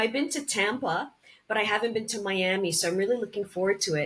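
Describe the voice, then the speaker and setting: With a slight Canadian accent, a woman speaks at a fairly quick pace against noticeable background noise. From Canada. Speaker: actress and cancer survivor. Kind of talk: interview podcast.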